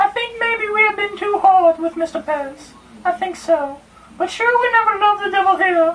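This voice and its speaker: A man speaks at a moderate pace in a squeaky, put-on character voice pitched extremely high. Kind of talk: student stage reading. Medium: audio drama.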